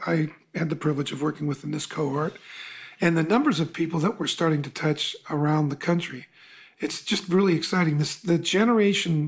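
A man with a normal speaking voice, fairly high-pitched and fairly quick, with ordinary pitch variation. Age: 60s. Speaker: podcast host and coach. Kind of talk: interview.

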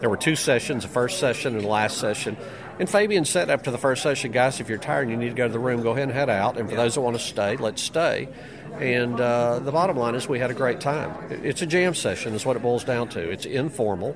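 A man with a medium pitch and ordinary pitch variation, talking at a very fast pace over noticeable background noise. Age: 60s. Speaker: magician and mentalist. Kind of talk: casual interview.

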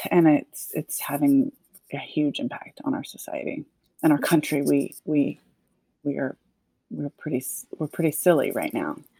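Her speech comes at a moderate pace with long, frequent pauses, and the sound of this woman is dry and close with no echo. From US South, Nashville, Tennessee. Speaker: social impact consultant and author. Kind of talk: casual interview chat.

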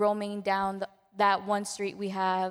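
A Spanish accent carries a monotone, flat intonation at a fairly slow pace. The recording is very clean, with a silent background. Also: woman. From Mexico. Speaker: student and volunteer.

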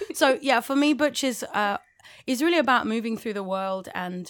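A woman with a London accent talks at a moderate pace, her pitch varying in an ordinary way. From London, England. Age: 30s. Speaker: musician and club night organiser. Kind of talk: casual interview chat. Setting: video call, remote from hosts.

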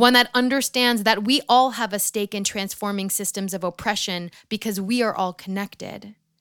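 A plain, everyday voice from a woman with an American accent, fairly high in pitch, at a moderate pace with ordinary pitch variation, in a dry, close sound with no echo on a very clean recording with a silent background. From New York area, US. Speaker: podcast host. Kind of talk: scripted narration; interview conversation.

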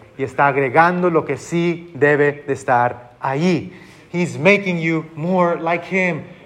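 A man with an American accent and a high pitch, in audible room echo. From Texas border region. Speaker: pastor. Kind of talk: bilingual sermon.

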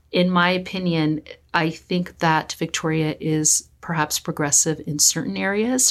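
A woman with an American accent, very deep, low pitch and ordinary pitch variation, in a very clean recording with a silent background. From California, US. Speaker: psychologist and equity consultant. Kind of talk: interview.

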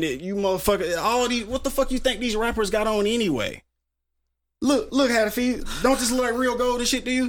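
On a very clean recording with a silent background, a man speaks in an animated tone at an extremely high pitch. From Tulsa, Oklahoma (Greenwood). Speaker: rapper. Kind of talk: casual interview.

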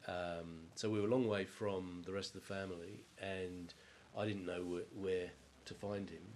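The voice has an English accent and monotone, flat intonation at a moderate pace. Room echo is audible. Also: man, very deep, low pitch for a man. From England. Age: 50s. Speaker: water utility executive. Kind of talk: interview about life story.

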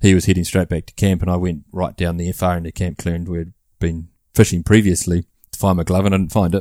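Monotone and flat, a man speaks very fast in a very deep, low, dark and mellow voice with a New Zealand accent, on a very clean recording with a silent background. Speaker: hunter and father. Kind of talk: casual chat.

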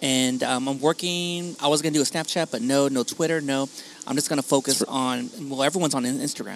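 This man's speech is very fast. He has a fairly high pitch and fairly even intonation. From Long Beach and Wilmington, California; Mexican-American. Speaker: podcaster. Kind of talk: casual chat. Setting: outdoor patio of a coffee shop.

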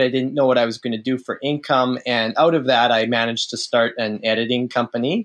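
Against a quiet background, a man with an unremarkable speaking voice talks at medium pitch and a moderate pace, his intonation fairly even. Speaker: author. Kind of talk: casual chat.

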